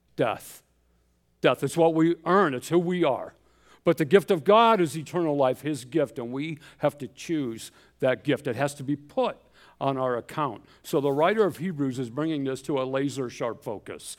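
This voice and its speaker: A man's fairly high-pitched, unremarkable speaking voice with ordinary pitch variation at a moderate pace, on a very clean recording with a silent background. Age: 60s. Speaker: missionary pastor. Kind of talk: sermon. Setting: church.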